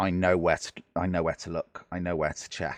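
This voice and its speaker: A very deep, low male voice with a British accent, monotone and flat, at a moderate pace, with a dry, close sound and no echo. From Britain. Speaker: gaming YouTuber. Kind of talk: gameplay commentary. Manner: casual, hesitant with many fillers.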